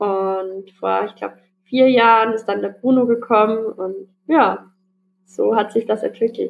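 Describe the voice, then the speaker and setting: The woman's fairly high voice moves at a very slow pace, its intonation fairly even. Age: young. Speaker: para-equestrian dressage rider. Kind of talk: interview.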